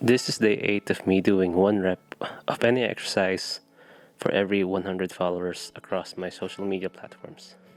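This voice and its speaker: Music plays in the background as a man speaks at a moderate pace. His very deep, low voice holds a monotone, flat intonation. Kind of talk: casual talk to camera. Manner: stutter.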